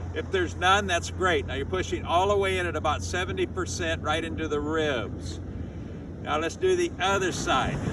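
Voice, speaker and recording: Over noticeable background noise and audible room echo, a man speaks at a moderate pace. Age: 80s+. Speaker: qigong teacher. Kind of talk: tutorial. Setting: outdoors.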